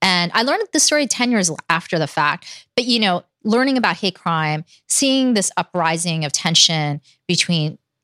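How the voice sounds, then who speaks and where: A plain, everyday voice with an American accent speaks at a moderate pace with lively intonation, dry and close with no echo in a very clean recording against a silent background. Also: woman. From New York City, Manhattan and Queens. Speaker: former city politician. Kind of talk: interview.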